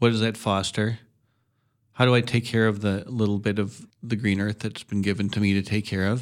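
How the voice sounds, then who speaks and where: A man with an Upper Midwest accent, fairly low in pitch, monotone and flat, at a fairly quick pace, in a very clean recording with a silent background. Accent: Upper Midwest American. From Madison, Wisconsin. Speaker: farmer. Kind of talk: radio interview.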